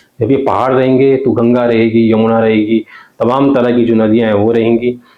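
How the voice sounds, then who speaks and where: A man speaks in a Garhwali accent at medium pitch. His delivery is monotone and flat, with very even loudness. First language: Garhwali (speaking Hindi). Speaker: journalist. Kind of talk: interview.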